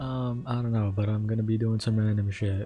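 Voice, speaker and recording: Music plays behind a man whose medium-pitched voice keeps fairly even intonation. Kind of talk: casual talk to camera. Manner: casual, rambling.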